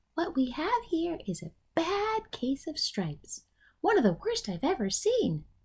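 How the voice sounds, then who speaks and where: Using a put-on character voice, the speaker moves at a moderate pace with very wide pitch swings. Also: woman, extremely high pitch for a woman. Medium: read story. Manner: bright, gentle.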